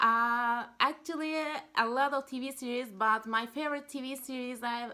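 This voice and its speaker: A woman with a Turkish accent speaks at a moderate pace in a high pitch with a bright, sharp tone and ordinary pitch variation, on a very clean recording with a silent background. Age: 20s. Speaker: university student. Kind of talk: job interview. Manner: halting.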